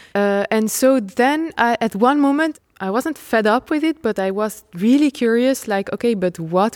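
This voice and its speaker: Speaking at a fairly slow pace in a Dutch accent, a woman makes very wide pitch swings, the sound dry and close with no echo. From Netherlands, Nijmegen. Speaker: trapeze artist. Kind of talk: interview. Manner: animated; halting.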